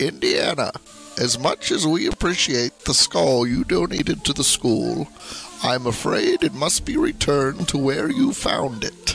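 A man's put-on character voice with clear music in the background. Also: moderate pace. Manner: calm, measured.

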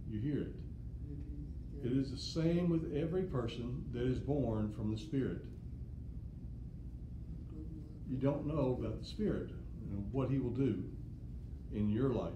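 Speech at a fairly slow pace with long, frequent pauses runs over noticeable background noise. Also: man. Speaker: Bible teacher. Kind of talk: lecture. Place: classroom. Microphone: camera far.

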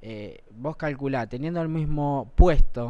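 At a fairly slow pace, a plain, everyday voice delivers the words. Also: man. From Argentina, Malvinas Argentinas (Buenos Aires); Argentina. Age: 20s. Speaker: school board candidate; TV talk show guest. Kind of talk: TV interview. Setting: TV studio. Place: studio. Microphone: lapel.

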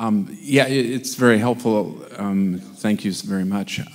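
Speaking at a fairly slow pace, a man keeps his pitch fairly low with ordinary variation.

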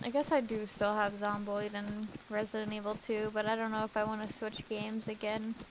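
A woman's fairly high, monotone voice at a fairly quick pace with hardly any pauses, over noticeable background noise. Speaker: gaming streamer. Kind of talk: casual chat. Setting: live stream.

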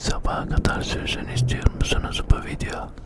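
Behind the whispering there is noticeable background noise. The whisper moves at a fairly slow pace. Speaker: ASMR creator. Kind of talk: ASMR whisper to camera. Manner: whispered, soft, relaxing.

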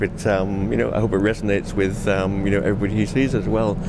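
Speech rushes by at a very fast pace with lively intonation. Noticeable background noise sits underneath. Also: man. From Cumbria, England; England. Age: 50s. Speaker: documentary photographer; interviewee. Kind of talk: interview. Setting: art gallery. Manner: halting, many fillers and repeats. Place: hall. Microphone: handheld.

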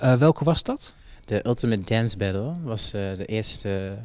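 A man with a plain, everyday voice, a fairly low pitch, a fairly slow pace, and ordinary pitch variation. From Jamaica. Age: 20s. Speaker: dancer. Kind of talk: interview. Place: hall. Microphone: handheld.

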